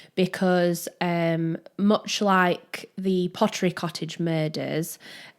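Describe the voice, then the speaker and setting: In a Yorkshire accent, a woman speaks very slowly at a medium pitch. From Yorkshire, northern England. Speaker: true crime podcast co-host. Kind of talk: casual chat. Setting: small room.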